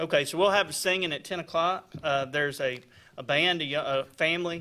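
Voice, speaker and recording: This man's voice sits fairly high, with a bright, sharp tone. His intonation stays fairly even as he talks at a fairly quick pace. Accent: Alabama. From US South, Alabama (Daviston, Tallapoosa County). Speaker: probate judge. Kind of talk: casual radio interview.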